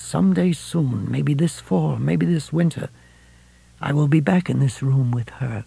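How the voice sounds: A quiet, put-on character voice from a man, fairly high in pitch, with a dark, mellow tone, a slightly husky edge, vocal fry and a fairly slow pace. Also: ordinary pitch variation.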